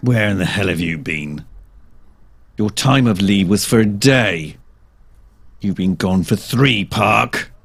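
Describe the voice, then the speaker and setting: A man's put-on character voice, growling and angry in tone, at a fairly low pitch and fairly slow pace with long, frequent pauses. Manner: growling, angry.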